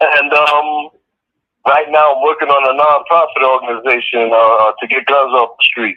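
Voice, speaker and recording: A man with an American accent, fairly high pitch, fairly even intonation and a moderate pace. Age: 60s. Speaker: prison inmate. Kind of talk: interview. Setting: phone call from prison. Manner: halting. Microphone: phone line, turned up loud.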